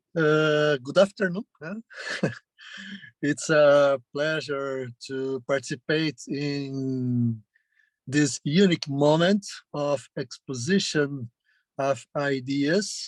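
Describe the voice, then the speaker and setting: In a Brazilian Portuguese accent, a man speaks at a very slow pace with long, frequent pauses and a fairly high pitch, the sound dry and close with no echo. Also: ordinary pitch variation. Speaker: journalism professor. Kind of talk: lecture. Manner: halting, many fillers.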